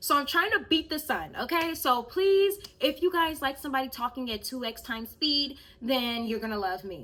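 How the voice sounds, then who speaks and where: A woman with a high pitch raises and projects her voice, bright and sharp in tone, moving at a fairly quick pace with very wide pitch swings. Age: 20s. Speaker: YouTuber. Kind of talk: storytime vlog. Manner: fast; animated.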